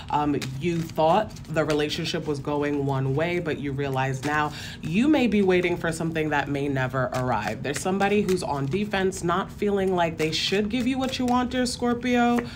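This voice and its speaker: A woman speaks at a moderate pace in a fairly low pitch, with hardly any pauses. Noticeable background noise runs underneath. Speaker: tarot reader. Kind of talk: tarot reading commentary.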